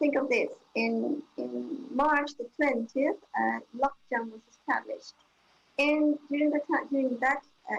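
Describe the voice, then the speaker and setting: A woman talks at a fairly slow pace. Her pitch is high and her intonation fairly even. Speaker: intensive care physician. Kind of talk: panel testimony. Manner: halting.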